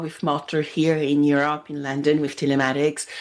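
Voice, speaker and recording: The woman's pitch is very deep and low. She talks fairly quickly. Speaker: podcast host. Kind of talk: podcast interview.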